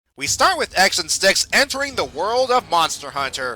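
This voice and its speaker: Raised and projected, the voice swings very widely in pitch, with a dry, close sound and no echo. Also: man. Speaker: comic reviewer. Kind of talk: scripted review narration.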